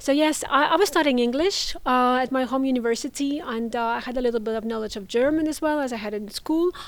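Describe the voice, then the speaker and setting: The speech moves at a very fast pace with hardly any pauses. Pitch varies in an ordinary way. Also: woman, high pitch for a woman. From Russia. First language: Russian. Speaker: international students coordinator. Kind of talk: interview. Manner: hesitant, many fillers.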